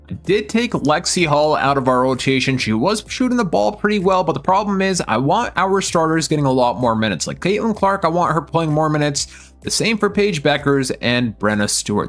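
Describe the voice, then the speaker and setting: With hardly any pauses, a man talks at a fairly quick pace and fairly high pitch, his pitch swinging very widely. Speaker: gaming youtuber. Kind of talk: gameplay commentary. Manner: stumbling over names.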